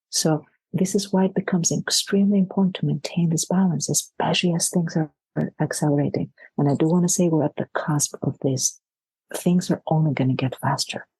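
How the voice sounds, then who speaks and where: The dark, mellow voice is somewhat breathy and moves at a fairly quick pace, with very even loudness, ordinary pitch variation, and a dry, close sound with no echo. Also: woman, fairly low pitch for a woman. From Greece. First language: Greek. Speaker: leadership coach. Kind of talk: podcast interview.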